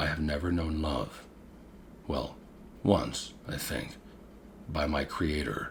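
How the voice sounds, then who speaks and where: A man's put-on character voice, gruff and very deep, at a fairly slow pace with long, frequent pauses and clear background noise. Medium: read story. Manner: slow, measured, brooding.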